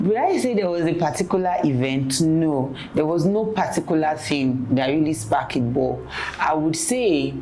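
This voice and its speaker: The loudness stays very even. Audible room echo and noticeable background noise come through. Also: woman. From Nigeria (Yoruba). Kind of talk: testimony interview.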